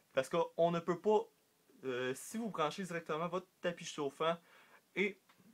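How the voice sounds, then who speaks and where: A man speaks at a fairly slow pace, with long, frequent pauses. His pitch is high, with ordinary variation. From Quebec. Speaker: reptile hobbyist YouTuber. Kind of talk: casual tutorial vlog. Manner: halting, many fillers.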